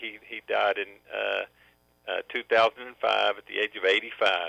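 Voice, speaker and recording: A man with a Southern accent, talking at a moderate pace. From US South, Memphis, Tennessee. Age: 50s. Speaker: businessman. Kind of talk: testimony. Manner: halting.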